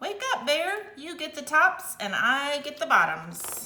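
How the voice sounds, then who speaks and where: In a put-on character voice, a woman talks at a fairly slow pace. Her pitch is high. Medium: read story. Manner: smooth, persuasive.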